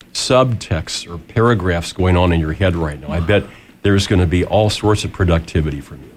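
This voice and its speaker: A man with an American accent speaks at a very deep, low pitch, sounding somewhat breathy. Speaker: radio show host. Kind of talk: radio interview and chat. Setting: radio studio.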